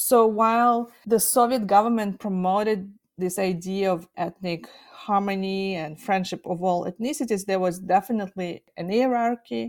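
Captured in a very clean recording with a silent background, a woman with a Russian accent speaks at a medium pitch and a moderate pace. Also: ordinary pitch variation. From Kazakhstan. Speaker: nuclear history researcher. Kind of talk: interview.

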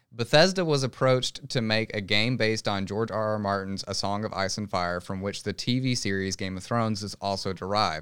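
On a very clean recording with a silent background, a man with an unremarkable speaking voice talks at a fairly low pitch and a fairly quick pace, with ordinary pitch variation and hardly any pauses. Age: 20s. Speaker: gaming podcast co-host. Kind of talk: casual chat.

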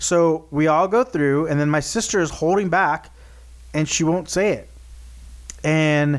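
The recording of this man is very clean, with a silent background. His tone is animated, with ordinary pitch variation and long, frequent pauses. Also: fairly high pitch for a man. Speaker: podcast host. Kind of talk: casual chat. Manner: animated, jokey.

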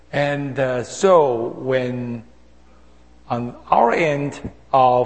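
A man's somewhat breathy voice with audible room echo. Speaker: senior pastor. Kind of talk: sermon. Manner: halting, with many hesitations.

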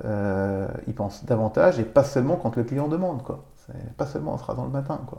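A man's medium-pitched voice, fairly quick and lively in intonation, against noticeable background noise. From Vosges, eastern France. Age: 40s. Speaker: business owner. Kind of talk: interview. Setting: host's home.

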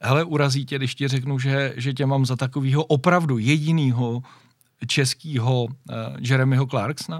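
Moderate pace and fairly even intonation in a man's medium-pitched voice. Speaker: motoring podcast host. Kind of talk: casual interview.

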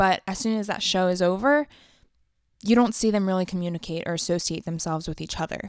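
In a very clean recording with a silent background and a dry, close sound with no echo, a woman speaks fairly quickly in a normal speaking voice of medium pitch with ordinary pitch variation. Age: 20s. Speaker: podcaster and videographer. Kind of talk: casual monologue.

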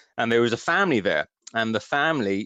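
Lively intonation with a slight West Country accent, a fairly quick pace, a quiet background, and a dry, close sound with no echo. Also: man. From West Country, England. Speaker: author. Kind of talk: radio interview, casual chat.

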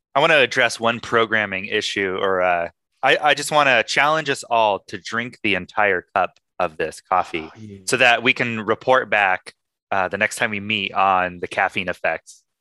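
In a very clean recording with a silent background and a dry, close sound with no echo, a man with a normal speaking voice talks at a moderate pace, his pitch fairly low and his pitch variation ordinary. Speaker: podcast host. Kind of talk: casual chat.

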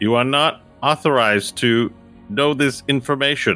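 A man's put-on character voice at medium pitch, with faint music in the background. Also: moderate pace.

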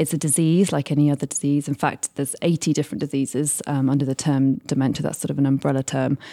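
Speaking very fast with hardly any pauses, a woman with a British accent has a very deep, low pitch and a dark, mellow tone, fairly even intonation, and a dry, close sound with no echo. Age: 30s. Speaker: charity fundraising director. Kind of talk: radio interview. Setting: live industry event.

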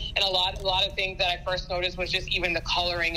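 With an American accent, a woman talks very fast over noticeable background noise. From US South, Georgia. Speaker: sports team photographer. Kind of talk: interview.

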